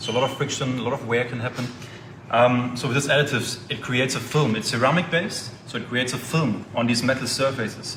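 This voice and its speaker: A man with a German accent speaks at a very fast pace and medium pitch with fairly even intonation. Audible room echo and noticeable background noise are present. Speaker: oil company representative. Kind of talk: product explanation.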